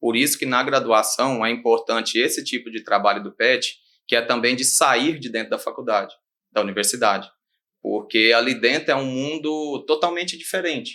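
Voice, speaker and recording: Recorded very cleanly against a silent background, a man speaks at a medium pitch and a moderate pace, with ordinary pitch variation and a bright, sharp tone. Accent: Minas Gerais. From Brazil, Minas Gerais. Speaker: animal scientist and rural consultant. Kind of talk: podcast interview.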